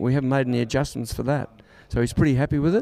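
This is a man talking. He has an Australian accent. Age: 70s. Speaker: sprint coach for boxers. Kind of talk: casual interview. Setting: backstage at a boxing event.

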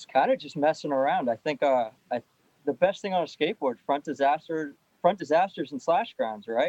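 A man with an American accent and a plain, everyday voice, fairly high-pitched for a man, in a dry, close recording with no echo. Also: lively intonation, fairly quick pace. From Lowell, Massachusetts. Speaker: pro skateboarder. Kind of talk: casual interview.

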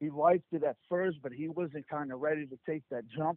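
The speaker uses a New Jersey accent with ordinary pitch variation. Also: man. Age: 30s. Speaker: HVAC business owner.

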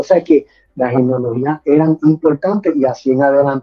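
With a Puerto Rican accent, a man speaks at a moderate pace with ordinary pitch variation. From Puerto Rico (Caguas, San Lorenzo) and Florida. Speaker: pastor and theology teacher. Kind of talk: theological dialogue.

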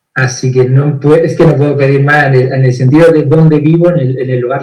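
This man's voice is somewhat breathy, with a dark, mellow tone. His intonation stays monotone and flat. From Andalusia, Spain (Granada). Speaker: therapist. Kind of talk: video interview. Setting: live stream.

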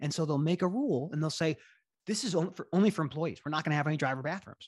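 With an American accent, a man speaks at a fairly high pitch, somewhat breathy, with ordinary pitch variation. The sound is dry and close with no echo, against a quiet background. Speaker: lawyer. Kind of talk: casual interview.

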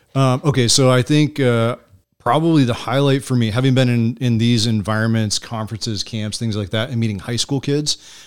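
On a very clean recording with a silent background, a man with an American accent and an unremarkable speaking voice talks fairly quickly at a medium pitch with fairly even intonation. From Michigan and Pennsylvania, US. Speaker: ministry organization director. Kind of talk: interview conversation.

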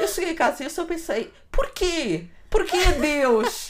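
A woman is talking. She has a European Portuguese accent. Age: 30s. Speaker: podcast co-host. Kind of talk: casual chat.

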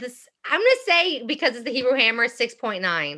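A bright, sharp tone comes through in an American accent over a quiet background. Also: woman. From Philadelphia, US. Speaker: radio show co-host guest. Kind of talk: casual chat.

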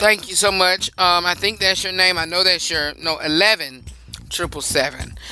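A man speaks in a raised, projected voice at a moderate pace. His pitch is high. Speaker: radio host. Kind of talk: radio dj patter, upbeat show-host banter; opening prayer. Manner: conversational, emphatic, repeats lines for effect.

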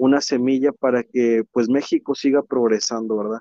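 A man keeps his intonation fairly even while speaking at a moderate speed. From Mexico, Tampico, Tamaulipas. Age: 20s. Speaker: engineer and youth community leader. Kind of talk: interview. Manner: hesitant, many filler words.

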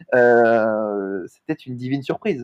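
The man's medium-pitched voice comes through with a dry, close sound and no echo. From southern France, Montpellier. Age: 20s. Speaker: sports agent. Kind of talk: interview. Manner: hesitant, frequent fillers and repetitions.

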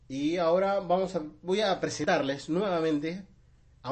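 Animated in tone, a man speaks with a Rioplatense accent. His pitch varies in an ordinary way. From Argentina, Buenos Aires south zone. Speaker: podcast host. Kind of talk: casual chat. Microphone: new microphone.

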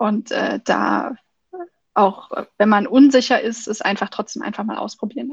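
Pitched fairly high, a woman talks at a moderate pace with long, frequent pauses. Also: dry, close sound with no echo. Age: 20s. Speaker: party state chair and student. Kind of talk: interview. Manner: hesitant, many fillers.

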